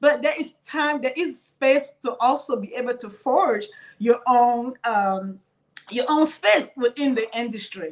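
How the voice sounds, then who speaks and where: A woman's high voice at a fairly slow pace, ordinary pitch variation, quiet background. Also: big swings in loudness. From Cameroon. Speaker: penetration tester; panelist. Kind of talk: panel discussion. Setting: video call. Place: home room. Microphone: video call.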